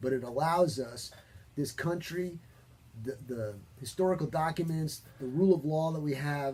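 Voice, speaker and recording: Somewhat breathy and at a fairly high pitch, a man speaks at a moderate pace in a dark, mellow tone. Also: ordinary pitch variation. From New York. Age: 50s. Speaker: talk show host. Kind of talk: opinionated talk show discussion. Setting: studio. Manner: animated.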